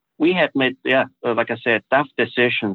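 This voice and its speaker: With a German accent, a man talks at a fairly slow pace. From Austria. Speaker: business executive. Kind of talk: interview conversation. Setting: studio. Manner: halting.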